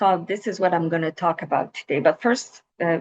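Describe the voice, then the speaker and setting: A woman speaks with a slight Quebec accent and ordinary pitch variation. The sound is dry and close, without echo. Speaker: researcher. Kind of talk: webinar presentation.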